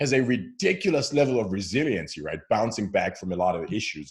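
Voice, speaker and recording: A man rattles along at a very fast pace with vocal fry, a medium pitch and very wide pitch swings, on a very clean recording with a silent background. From Zimbabwe. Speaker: founder of a faith conversation channel. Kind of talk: casual interview. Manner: hesitant with repeated words.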